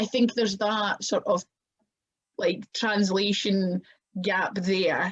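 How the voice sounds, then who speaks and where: In a strong Scottish accent, a woman speaks very slowly with long, frequent pauses, her medium-pitched, somewhat breathy voice monotone and flat, very even in loudness, and the sound dry and close with no echo. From Scotland. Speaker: professional wrestler. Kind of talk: podcast interview.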